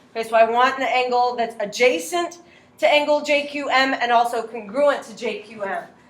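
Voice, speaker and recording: Over noticeable background noise and audible room echo, a woman talks at a moderate pace in a high pitch with ordinary pitch variation. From Latin America. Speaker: high school math teacher. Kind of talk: classroom lesson. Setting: classroom.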